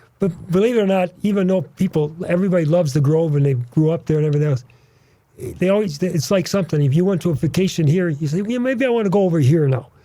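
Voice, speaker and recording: A man talks at a very fast pace, his tone dark and mellow. His voice is somewhat breathy, with ordinary pitch variation. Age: 80s+. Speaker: drag racer and event organizer. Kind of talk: casual chat.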